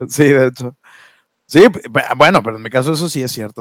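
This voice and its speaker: In a very clean recording with a silent background and a dry, close sound with no echo, a man with an ordinary speaking voice uses fairly even intonation. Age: 20s. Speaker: podcast co-host, HR worker. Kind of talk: casual chat.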